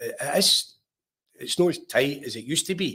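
Someone with a Lanarkshire accent speaks at a moderate pace in a bright, sharp tone with ordinary pitch variation. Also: man. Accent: Scottish (Lanarkshire). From Scotland, Lanarkshire (Ashgill, near Larkhall). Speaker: former professional footballer. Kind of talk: casual interview.

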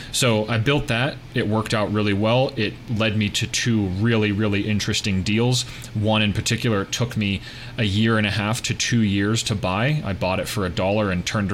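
Over noticeable background noise, a man with a fairly low pitch talks at a moderate pace with hardly any pauses and very even loudness. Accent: American. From US, Pittsburgh, Pennsylvania. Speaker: tech startup founder, real estate investor. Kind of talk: podcast interview.

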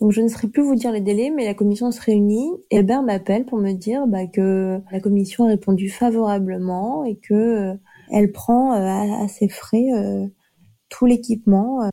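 A woman speaks with a dark, mellow tone at a medium pitch. Her pace is fairly slow and her intonation fairly even. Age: 30s. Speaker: nurse. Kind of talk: testimony.

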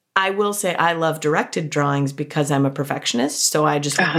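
Over noticeable background noise, a woman speaks very fast in a very deep, low pitch. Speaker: podcast host, librarian. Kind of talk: interview; scripted introduction. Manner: enthusiastic.

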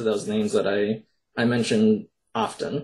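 With an Upper Midwest accent, a man of medium pitch talks at a fairly quick pace with fairly even intonation. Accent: Upper Midwest American. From Minnesota. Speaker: poet and horror author. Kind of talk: interview.

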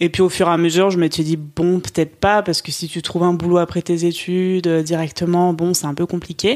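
Hardly pausing, a woman with a fairly low pitch talks at a fairly quick pace in a monotone, flat intonation. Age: 20s. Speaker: journalism graduate. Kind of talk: interview.

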